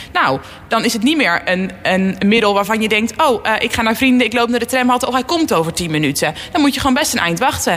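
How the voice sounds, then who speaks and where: A woman speaks very fast with hardly any pauses, her fairly high voice swinging very widely in pitch while her loudness stays very even over noticeable background noise. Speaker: politician. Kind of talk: radio interview. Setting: studio.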